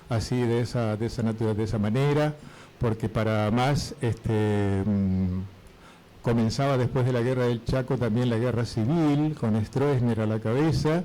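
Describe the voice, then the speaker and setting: Loudness stays very even throughout this fairly slow delivery, which has ordinary pitch variation. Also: man, medium pitch for a man. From Formosa, northern Argentina. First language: Guaraní (speaking Spanish). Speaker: retired teacher and Guaraní translator. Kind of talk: radio interview.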